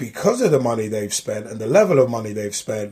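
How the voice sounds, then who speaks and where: Lively intonation marks a man's somewhat breathy speech at a fairly quick pace. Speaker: football podcast co-host. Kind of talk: podcast intro. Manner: casual, upbeat.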